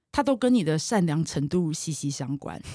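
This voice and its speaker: Recorded very cleanly against a silent background, with a dry, close sound and no echo, a woman speaks at a moderate pace with very wide pitch swings. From Taiwan, Taipei. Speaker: marketing executive and runner. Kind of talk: interview conversation. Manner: animated.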